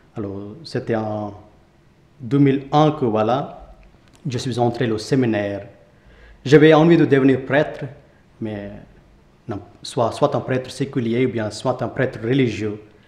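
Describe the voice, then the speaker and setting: A man talks at a very slow pace, pausing long and often. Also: medium pitch for a man, ordinary pitch variation. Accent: Indian. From India. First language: Indian language (speaking French). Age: 20s. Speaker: Capuchin friar. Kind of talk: testimony interview. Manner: halting.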